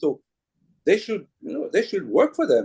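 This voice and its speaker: A man with a French accent talks with lively intonation. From France. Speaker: journalist and author. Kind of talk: talk at a book event. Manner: animated.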